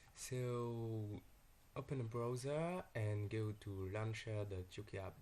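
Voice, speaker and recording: Somewhat breathy, a man with a French accent speaks at a fairly low pitch with ordinary pitch variation. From France. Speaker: software developer. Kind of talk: software tutorial.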